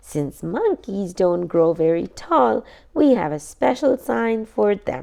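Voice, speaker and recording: A woman puts on a raspy character voice with a warm tone, medium pitch, very wide pitch swings and a fairly slow pace. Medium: read story. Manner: warm, friendly.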